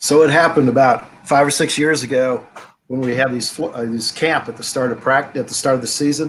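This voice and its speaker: This is a normal speaking voice with fairly even intonation. The pace is fairly quick. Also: man, fairly high pitch for a man. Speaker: rugby coach. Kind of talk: casual interview chat.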